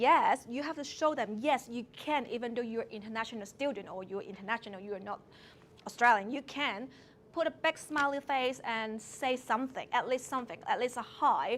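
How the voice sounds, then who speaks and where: A woman with a Hong Kong accent speaks at a high pitch. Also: ordinary pitch variation, moderate pace. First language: Cantonese. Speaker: early childhood educator. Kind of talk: talk to seminar audience.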